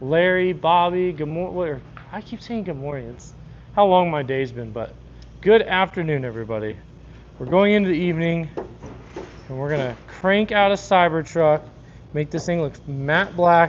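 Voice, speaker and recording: A man with an American accent at a high pitch, moderate pace, ordinary pitch variation, big swings in loudness and long, frequent pauses. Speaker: car wrap installer streaming live. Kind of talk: live stream chat while working. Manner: mumbling at times.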